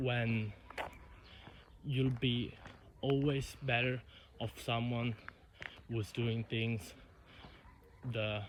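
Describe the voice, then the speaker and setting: Speaking at a very slow pace with long, frequent pauses, a man with a medium pitch sounds somewhat breathy, his intonation monotone and flat. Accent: Italian. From Italy. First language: Italian. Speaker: YouTuber. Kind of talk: unscripted monologue vlog. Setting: outdoors walking in countryside. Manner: halting, self-correcting.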